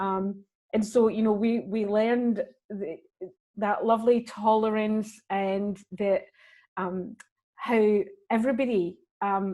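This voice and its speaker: With a Glaswegian accent, the voice moves at a very slow pace with long, frequent pauses, fairly even intonation and a dark, mellow tone. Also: woman, fairly high pitch for a woman. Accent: Glaswegian Scottish. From Scotland, Glasgow. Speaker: actor and comedian. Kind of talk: interview.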